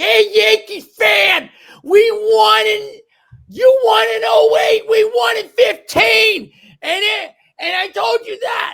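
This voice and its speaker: Shouting in a put-on character voice with a Boston accent, the speaker hits an extremely high pitch with very wide swings at a fairly slow pace. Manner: boastful, teasing.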